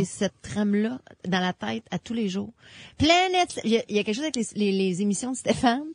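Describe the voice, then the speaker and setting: In a Quebec accent, a woman speaks fairly quickly with lively intonation and a somewhat breathy voice, the sound dry and close with no echo. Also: medium pitch for a woman, quiet background. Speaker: radio host.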